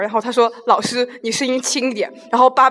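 A woman talks at a very fast pace with a high pitch. Noticeable background noise runs underneath. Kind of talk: casual chat.

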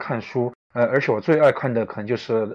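A man with a Chongqing accent, medium pitch, ordinary pitch variation and a moderate pace. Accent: noticeable Chongqing-accented Mandarin. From Chongqing, China. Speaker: suspense novelist and screenwriter. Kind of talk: live-stream interview. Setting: online live broadcast. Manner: halting, many filler sounds.

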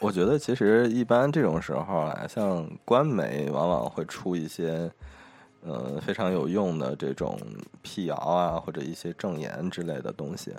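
Speaking fairly slowly, a man with a very deep, low pitch uses lively intonation. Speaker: podcast co-host. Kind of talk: casual chat.

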